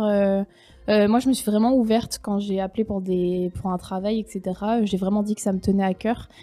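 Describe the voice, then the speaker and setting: Dark, mellow tone from a woman at medium pitch, moderate pace and fairly even intonation, in a very clean recording with a silent background. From France. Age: 20s. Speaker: former au pair, tourism worker. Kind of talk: casual interview.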